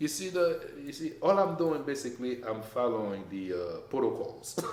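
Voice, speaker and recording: A man at a fairly high pitch and moderate pace, with very wide pitch swings, audible room echo and noticeable background noise. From Haiti. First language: French or Haitian Creole. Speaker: business owner. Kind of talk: casual chat.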